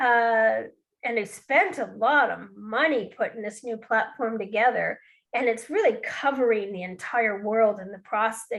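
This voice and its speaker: At a fairly slow pace, a woman speaks in an ordinary speaking voice with a fairly high pitch and ordinary pitch variation. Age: 60s. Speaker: bookkeeping and QuickBooks trainer. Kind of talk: webinar presentation.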